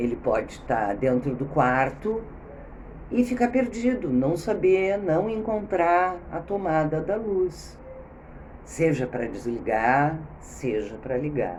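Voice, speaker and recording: A woman with a very deep, low pitch speaks very slowly with very wide pitch swings, amid noticeable background noise and audible room echo. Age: 60s. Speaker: video blogger. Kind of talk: spontaneous talk. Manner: halting.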